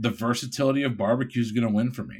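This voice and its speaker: On a very clean recording with a silent background, a man with an American accent talks at a fairly quick pace, his medium pitch carrying fairly even intonation. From Connecticut (Bridgeport). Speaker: food podcast panelist. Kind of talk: casual chat.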